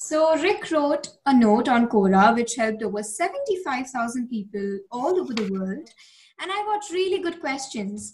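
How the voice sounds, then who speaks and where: With an Indian accent, a woman speaks at a high pitch and a moderate pace. Her pitch swings very widely. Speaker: podcast host. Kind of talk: podcast intro.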